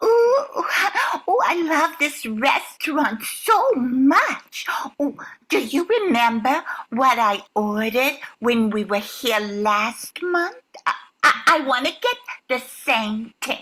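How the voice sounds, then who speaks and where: The speaker uses a put-on character voice and moves at a very slow pace. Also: woman, high pitch for a woman. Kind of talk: comic overacting. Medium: stage play. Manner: breathy, gushing exclamations.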